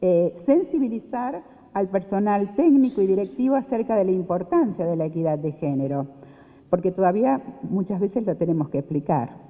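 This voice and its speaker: With noticeable background noise behind it, the voice goes at a moderate pace with very wide pitch swings. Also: woman, medium pitch for a woman. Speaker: panel speaker on social security. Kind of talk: conference talk. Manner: hesitant, many fillers.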